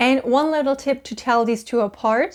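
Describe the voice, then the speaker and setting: A woman speaks at a high pitch with a German accent. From Germany. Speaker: language-learning YouTuber. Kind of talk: tutorial.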